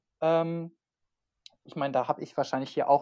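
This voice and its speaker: A man speaks with fairly even intonation. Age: 20s. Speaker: freelance online marketer. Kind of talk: casual interview.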